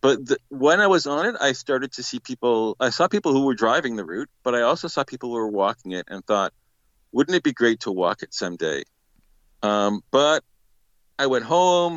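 With a Canadian accent, a man of medium pitch speaks at a moderate pace, his pitch swinging very widely. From Canada. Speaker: pilgrim. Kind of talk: casual interview.

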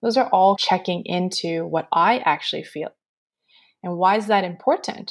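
An ordinary speaking voice from a woman, medium in pitch, at a moderate pace with ordinary pitch variation. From Canada, Montreal. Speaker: energy healer. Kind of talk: interview; guided meditation.

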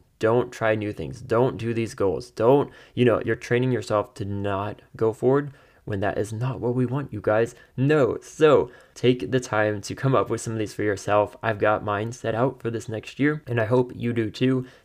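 A man talks at a moderate pace in a medium pitch, with a plain, everyday voice. The background is quiet. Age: 20s. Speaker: podcast host. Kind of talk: solo monologue with personal updates. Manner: upbeat, laughs often.

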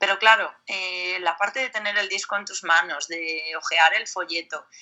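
A woman with a plain, everyday voice speaks at a medium pitch and a moderate pace, with ordinary pitch variation. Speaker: metal singer. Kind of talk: interview.

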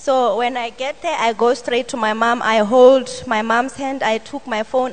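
A woman's fairly high voice with fairly even intonation, set against noticeable background noise. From Botswana. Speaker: church steward giving testimony. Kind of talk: testimony. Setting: church service. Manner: halting.

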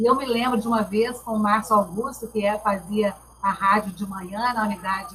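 Noticeable background noise sits behind a woman who speaks at a moderate pace with a fairly high pitch. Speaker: TV journalist and lecturer. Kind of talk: panel discussion.

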